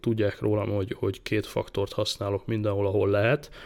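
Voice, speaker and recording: With an unremarkable speaking voice, a man talks at a fairly quick pace and medium pitch. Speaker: tech podcast host. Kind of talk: casual tech chat.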